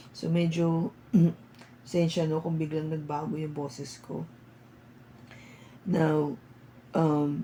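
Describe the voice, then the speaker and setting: A somewhat breathy woman with a very deep, low pitch and fairly even intonation. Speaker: tarot reader. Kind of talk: tarot reading. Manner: casual Taglish with fillers.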